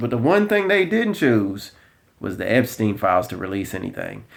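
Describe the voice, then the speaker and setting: Here a man speaks with a strong Southern US accent. His pitch swings are very wide, and his pace is fairly quick. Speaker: political commentator. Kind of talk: casual commentary vlog.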